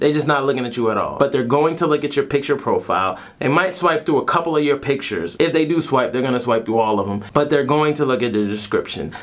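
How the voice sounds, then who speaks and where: A man talking at a very fast pace, hardly any pauses, and ordinary pitch variation. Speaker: vlogger. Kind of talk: casual vlog chat. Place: home room.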